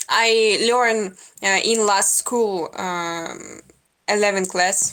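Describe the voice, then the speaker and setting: A very slow pace with fairly even intonation. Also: woman, medium pitch for a woman. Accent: Russian. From Russia. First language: Russian. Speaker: video chat stranger. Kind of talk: casual chat. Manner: halting.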